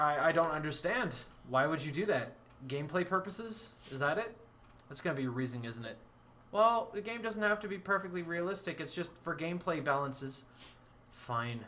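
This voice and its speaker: Over noticeable background noise, a man talks at a fairly quick pace with high pitch and lively intonation. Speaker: gaming streamer. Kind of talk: live gameplay commentary. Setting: live stream. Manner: slurred speech; halting, repeats words.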